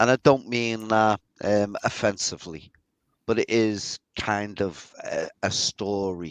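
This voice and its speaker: Against a quiet background, a man with a fairly low pitch speaks at a very slow pace with fairly even intonation, the sound dry and close with no echo. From northern England, Liverpool. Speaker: skeptic co-panelist. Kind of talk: casual chat.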